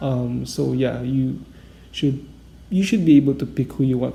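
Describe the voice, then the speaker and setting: Speech in a non-native accent at a fairly slow pace. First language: not English. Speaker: gaming YouTuber. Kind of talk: casual game guide talk. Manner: hesitant, many fillers.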